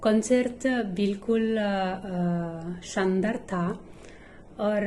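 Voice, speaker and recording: With audible room echo, a woman speaks in a dark, mellow tone and fairly even intonation. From Italy. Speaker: schoolteacher, Hindi learner. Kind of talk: language-learning interview. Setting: online call. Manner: halting, many filler pauses.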